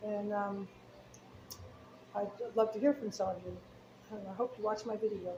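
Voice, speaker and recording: A woman with a fairly high voice speaks in a flat monotone at a moderate pace over noticeable background noise. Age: 60s. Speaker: chess book seller. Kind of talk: casual chat. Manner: hesitant, many fillers.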